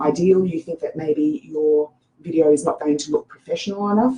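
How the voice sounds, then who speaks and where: A woman's fairly low voice with an Australian accent, moderate pace and ordinary pitch variation. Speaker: social media marketing coach. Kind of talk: tutorial. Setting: Facebook live screen share. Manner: casual with frequent fillers.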